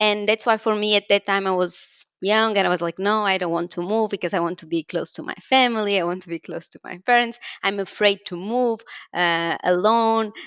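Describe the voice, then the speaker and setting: Against a quiet background, a woman speaks in a Portuguese accent with fairly even intonation. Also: medium pitch for a woman, fairly quick pace, dry, close sound with no echo. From Portugal, Porto. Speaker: scientist. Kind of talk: interview.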